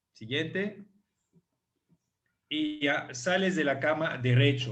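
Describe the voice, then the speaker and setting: A man's fairly high voice in a French-African accent, very slow, with ordinary pitch variation and audible room echo. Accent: foreign (French-African) accent in Spanish. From France / Africa (half French, half African). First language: French (speaking Spanish). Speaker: chiropractor. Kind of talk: online presentation / lecture. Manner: hesitant, many fillers.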